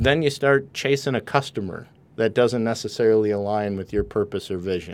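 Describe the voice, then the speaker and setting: A man at medium pitch with an American accent, ordinary pitch variation and a moderate pace, on a very clean recording with a silent background. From Wisconsin. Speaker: author and speaker. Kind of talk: casual interview. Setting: studio.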